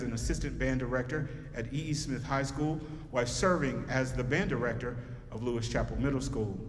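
A man with an American accent, ordinary pitch variation and a fairly quick pace, over light background noise. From North Carolina. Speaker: concert program narrator and band alumnus. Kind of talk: formal event announcement, stage emcee welcome. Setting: school auditorium stage with audience. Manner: formal; polished, measured, announcer-like. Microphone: handheld.

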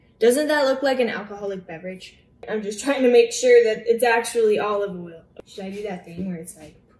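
A woman speaks with big swings in loudness, and the room echo is audible. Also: ordinary pitch variation, fairly quick pace. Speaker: home cook vlogger. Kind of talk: casual vlog chat. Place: kitchen. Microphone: phone near.

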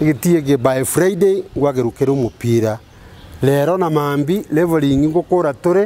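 A man's fairly high, dark, mellow voice at a moderate pace, with ordinary pitch variation

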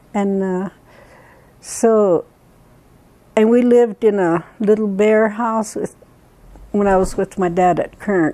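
Speaking with an American accent, a woman goes at a fairly slow pace with long, frequent pauses, a dark, mellow tone and fairly even intonation. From Duckwater Reservation, Nevada. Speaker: Western Shoshone elder. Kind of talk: interview answer. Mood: warm, fond. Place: home room. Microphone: lapel.

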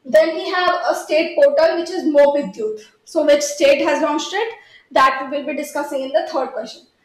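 Amid audible room echo, a woman talks at a moderate pace in a high voice with ordinary pitch variation. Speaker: exam prep teacher. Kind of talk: lecture. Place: studio.

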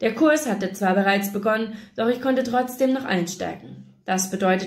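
In a natural reading voice, the pitch varies an ordinary amount.

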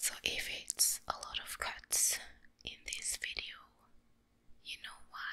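Whispering in a relaxed tone at a very slow pace, broken by long, frequent pauses. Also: woman. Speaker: ASMR creator. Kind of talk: ASMR eating video talk to camera. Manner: relaxed, soft-spoken.

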